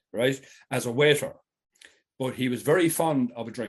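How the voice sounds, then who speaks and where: Here a man speaks in a Tipperary accent. His pitch is medium. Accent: Irish, Tipperary. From Ireland, County Tipperary. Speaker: fly fisherman. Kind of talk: casual chat.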